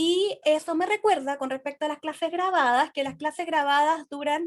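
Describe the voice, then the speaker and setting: This is a woman talking. The movement in her pitch is ordinary. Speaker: tarot teacher. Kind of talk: online class lecture. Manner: fast; hesitant with fillers.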